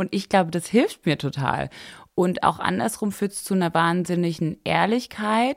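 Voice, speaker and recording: On a very clean recording with a silent background, a woman with fairly low pitch speaks at a moderate pace, with lively intonation and big swings in loudness. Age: 20s. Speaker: fashion blogger and entrepreneur. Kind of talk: casual chat. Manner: many fillers and hesitations.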